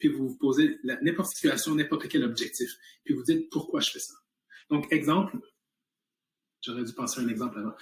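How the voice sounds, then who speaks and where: The tone here is animated. A man delivers it at a fairly quick pace. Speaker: health company entrepreneur. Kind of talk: motivational talk. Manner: fast.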